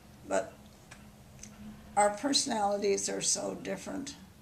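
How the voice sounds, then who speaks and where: Audible echo fills the room. The delivery is fairly slow. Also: woman. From Wyoming (Cowley). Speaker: elderly interviewee. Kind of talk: oral history interview. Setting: at home.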